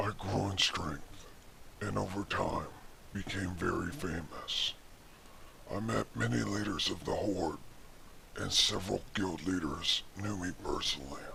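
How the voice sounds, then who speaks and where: The voice moves at a moderate pace with lively intonation and long, frequent pauses. Clear background noise sits behind it. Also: man, very deep, low pitch for a man. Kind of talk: mock-epic fantasy storytelling. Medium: read story. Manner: earnest and dramatic with jokey asides.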